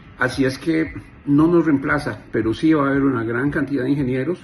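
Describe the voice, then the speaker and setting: Over music in the background, a man with a Costa Rican accent speaks at a medium pitch with lively intonation. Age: 50s. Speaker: software engineer. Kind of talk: monologue to camera. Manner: animated.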